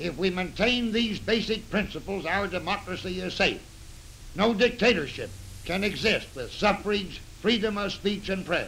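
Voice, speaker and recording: A man's high-pitched voice, bright and sharp in tone, moves at a moderate pace with ordinary pitch variation over light background noise. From United States. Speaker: retired general testifying before a congressional committee. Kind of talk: 1930s newsreel statement. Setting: old newsreel recording. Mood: earnest, serious. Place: office.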